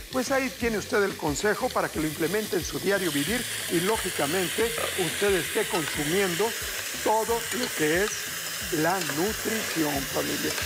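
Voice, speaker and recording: Loud background noise fills the recording. A man speaks with ordinary pitch variation. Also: moderate pace. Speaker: TV cooking show host. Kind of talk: TV cooking tips monologue. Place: studio. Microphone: lapel.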